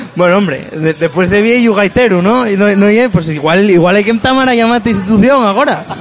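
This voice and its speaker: Over music in the background, a man talks fairly quickly in a high voice. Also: ordinary pitch variation, hardly any pauses. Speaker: podcast host. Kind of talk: casual interview. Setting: bar.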